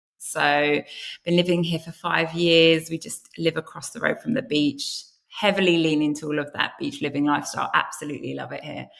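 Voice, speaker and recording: Speaking fairly quickly with a British accent, a woman has a fairly low voice and ordinary pitch variation. Her loudness swings widely. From UK. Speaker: content marketer, former journalist. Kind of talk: podcast interview.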